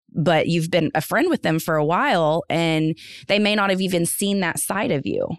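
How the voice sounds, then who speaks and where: A plain, everyday voice at a moderate pace. Loudness stays very even, with ordinary pitch variation. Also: woman, fairly low pitch for a woman. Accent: American. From North Texas. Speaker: assistant principal. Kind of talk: casual chat.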